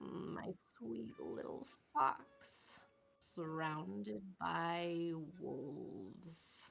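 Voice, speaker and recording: A soft-spoken, put-on character voice at middle pitch unfolds at a very slow pace. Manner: soft, caressing.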